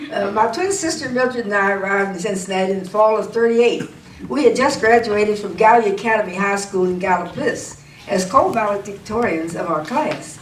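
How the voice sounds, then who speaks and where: Speaking fairly quickly with an American accent, a woman uses a medium pitch and ordinary pitch variation, with noticeable background noise and audible room echo around her. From southern Ohio, US. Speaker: civil rights activist. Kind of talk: oral history interview. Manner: halting, with fillers.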